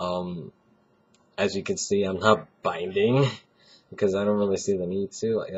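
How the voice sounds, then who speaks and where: Pitched fairly low, a man speaks at a moderate pace with fairly even intonation and long, frequent pauses. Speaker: vlogger. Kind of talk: video diary. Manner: casual, halting.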